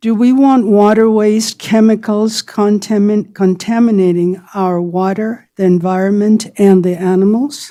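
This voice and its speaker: A woman speaks at a medium pitch and a fairly slow pace, with hardly any pauses and fairly even intonation. Her tone is dark and mellow, and the recording is very clean with a silent background. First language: Spanish. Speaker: resident giving public comment. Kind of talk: public comment at a hearing. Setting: public meeting hall at a podium mic. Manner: halting.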